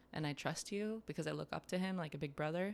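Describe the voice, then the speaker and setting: A woman with a very deep, low pitch talks at a fairly quick pace with fairly even intonation. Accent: American. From US Midwest, near Detroit. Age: 20s. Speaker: chef. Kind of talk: casual chat. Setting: in host's kitchen.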